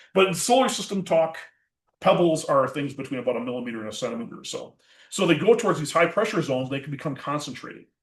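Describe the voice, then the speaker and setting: Over audible room echo, a man with an American accent and a fairly high pitch rushes at a very fast pace, his loudness swinging widely. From Minnesota. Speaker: planetary scientist. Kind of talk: public science lecture.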